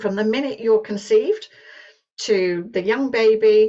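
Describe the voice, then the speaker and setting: A woman with a British accent speaks at a fairly high pitch. Her pace is fairly slow. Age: 60s. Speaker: business presenter. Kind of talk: sales pitch. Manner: halting.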